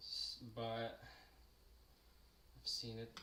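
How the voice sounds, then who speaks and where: A man talks at a very slow pace. The room echo is audible, and background noise is noticeable. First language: French. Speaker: sculptor and live streamer. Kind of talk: casual chat during live sculpting stream. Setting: live stream. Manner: hesitant with many fillers.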